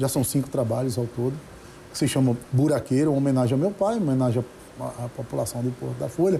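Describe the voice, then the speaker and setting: At a very fast pace, a man talks in a somewhat breathy voice with a dark, mellow tone. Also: medium pitch for a man, ordinary pitch variation. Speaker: judge and singer-songwriter. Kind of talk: interview.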